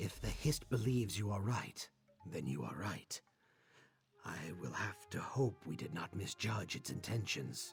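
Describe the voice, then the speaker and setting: A put-on character voice with very wide pitch swings at a moderate pace over faint background music. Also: man, fairly low pitch for a man. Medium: video game.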